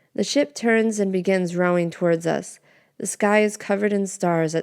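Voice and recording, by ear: With fairly even intonation, the speaker is reading aloud in a natural voice.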